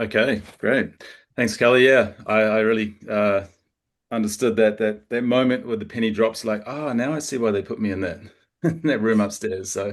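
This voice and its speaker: A New Zealand accent at a moderate pace, with fairly even intonation and a quiet background. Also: man, medium pitch for a man. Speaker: local travel partner. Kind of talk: information session presentation. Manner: halting, many fillers and repetitions.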